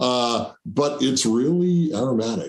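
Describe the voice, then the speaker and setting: A man speaks with a New Jersey accent. His intonation is lively. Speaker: show host and musician. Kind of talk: casual chat. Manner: mumbly.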